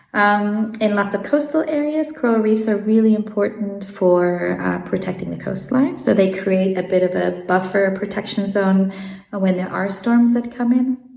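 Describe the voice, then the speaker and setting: With an American accent, a woman speaks at medium pitch and a moderate pace, with ordinary pitch variation and hardly any pauses. Noticeable background noise and audible room echo fill the recording. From Switzerland and South Africa, learned English in America. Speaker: marine biologist. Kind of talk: interview. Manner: hesitant, many fillers.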